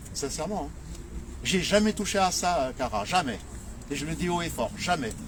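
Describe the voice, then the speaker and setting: Lively in intonation, a man with a fairly high pitch speaks at a moderate pace with long, frequent pauses. Noticeable background noise is present. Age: 70s. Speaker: nephew of a late singer, retired farmer. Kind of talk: informal speech to an audience at a commemoration. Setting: live gathering with audience. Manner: halting, many repetitions and hesitations.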